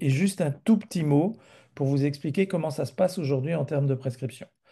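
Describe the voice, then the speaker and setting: Over a quiet background, a man talks at a fairly quick pace with lively intonation, his fairly high voice somewhat breathy with a dark, mellow tone. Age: 60s. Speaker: physician presenter. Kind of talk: webinar presentation.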